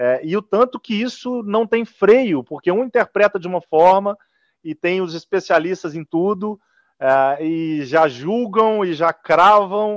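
Against a quiet background, a man with a high voice talks at a fairly slow pace with lively intonation, in a dry, close sound without echo. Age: young. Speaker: football club executive. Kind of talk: interview.

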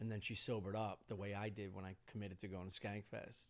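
The speaker is a man with a fairly low-pitched voice. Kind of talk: casual chat. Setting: studio.

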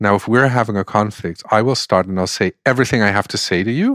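A man with a normal speaking voice and a fairly low pitch speaks with ordinary pitch variation, his sound dry and close with no echo on a very clean recording with a silent background. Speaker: deep democracy facilitator. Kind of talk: interview conversation.

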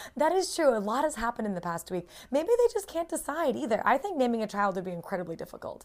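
A high-pitched woman with an American accent, very fast and with hardly any pauses, her pitch swinging very widely. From United States. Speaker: foreign news correspondent. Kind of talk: casual chat.

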